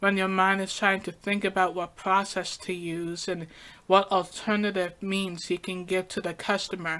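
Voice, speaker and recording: A woman at a medium pitch and a moderate pace. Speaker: podcaster. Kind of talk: personal podcast monologue.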